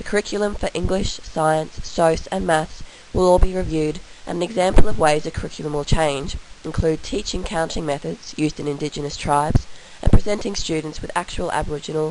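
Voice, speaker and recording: A woman with an Australian accent and a very deep, low pitch talks at a fairly quick pace, her intonation fairly even but her loudness swinging widely. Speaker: university student. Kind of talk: recorded class presentation.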